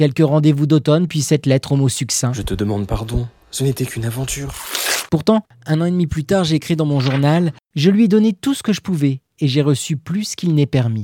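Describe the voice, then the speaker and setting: In a dry, close sound with no echo, a man with a normal speaking voice talks at a fairly quick pace, his fairly high pitch carrying lively intonation. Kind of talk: literary audiobook reading. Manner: wry and tender, humorous first-person diary reading with playful irony.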